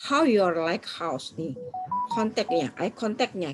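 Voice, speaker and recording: This woman speaks with a Surabaya accent. Her pitch sits in the medium range. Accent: Surabaya accent, says it is her own. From Indonesia, Surabaya (East Java). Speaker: trainer of assessors. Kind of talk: online training lecture. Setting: recorded video with screen share, alone. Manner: fast.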